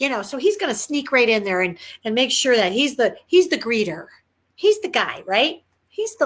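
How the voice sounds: A natural reading voice is heard. The background is quiet.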